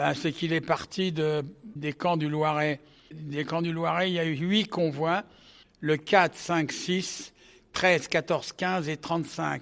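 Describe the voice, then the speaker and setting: Very slowly, a man speaks at a fairly high pitch with fairly even intonation. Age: 80s+. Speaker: Holocaust survivor, association co-founder. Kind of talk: interview testimony. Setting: forum event. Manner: halting.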